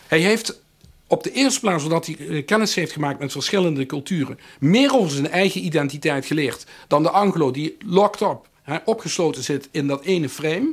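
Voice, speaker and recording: The speaker has a Limburg accent and lively intonation. The recording is very clean, with a silent background. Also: man, fairly high pitch for a man, moderate pace. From Limburg, Netherlands. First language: Limburgish (speaking Dutch). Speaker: professor. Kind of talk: interview. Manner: halting, many filler sounds.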